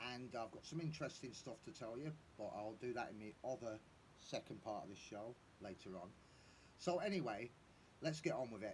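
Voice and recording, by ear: A man speaks at a moderate pace, his medium pitch varying in an ordinary way.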